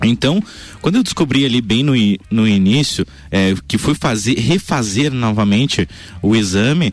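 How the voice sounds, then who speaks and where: With a plain, everyday voice, a man talks at a moderate pace. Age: 20s. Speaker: radio health columnist. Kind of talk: radio chat.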